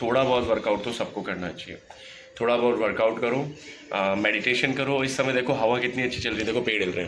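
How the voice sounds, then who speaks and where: A man speaks over noticeable background noise. Audible room echo surrounds his voice. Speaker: family vlogger. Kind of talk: casual vlog talk to camera. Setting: home balcony, outdoors air.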